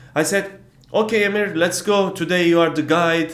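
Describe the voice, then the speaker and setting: Audible room echo surrounds a man speaking with a Turkish accent. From Turkey. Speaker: travel vlogger. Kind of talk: casual vlog storytelling. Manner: hesitant, many fillers.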